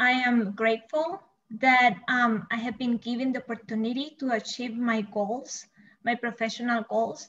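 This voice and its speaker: A woman's high-pitched voice with a Spanish accent, fairly even intonation and a moderate pace. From El Salvador. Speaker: bilingual coordinator and teacher. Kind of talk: panel discussion.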